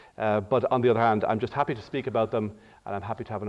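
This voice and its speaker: In an Irish accent, a man speaks with fairly even intonation over a quiet background. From Ireland. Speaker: diplomat. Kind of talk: lecture. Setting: auditorium with audience. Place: hall. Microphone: podium.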